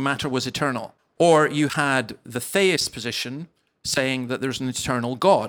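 A man with a Scottish accent speaks in a fairly high pitch. The recording is very clean, with a silent background. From Scottish Highlands. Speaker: minister. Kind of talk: live interview. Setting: stage with audience.

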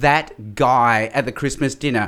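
A man speaks at a fairly quick pace with an Australian accent. The recording is very clean, with a silent background. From Australia, mainly Sydney. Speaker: evangelist and public speaker. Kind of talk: interview.

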